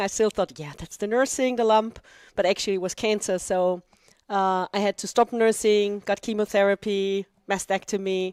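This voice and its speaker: On a very clean recording with a silent background, a woman with an Austrian accent speaks at a moderate pace and medium pitch, the sound dry and close with no echo. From Austria, Vienna. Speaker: dragon boat club president, cancer patient. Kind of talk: interview.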